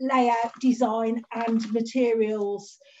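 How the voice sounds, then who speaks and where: The voice has fairly even intonation, and light background noise sits behind it. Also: woman. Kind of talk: formal presentation. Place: home room. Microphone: video call.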